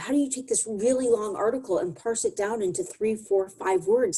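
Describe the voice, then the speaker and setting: A woman talks at a fairly quick pace in a fairly high, somewhat breathy voice. Her tone is dark and mellow, with ordinary pitch variation. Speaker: communications consultant, presenter. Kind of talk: presentation to a business audience. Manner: fast; animated.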